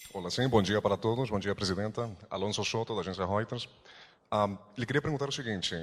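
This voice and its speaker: On a very clean recording with a silent background, a man's pitch moves up and down in a typical way. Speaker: news agency journalist. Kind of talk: press conference question. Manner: fast.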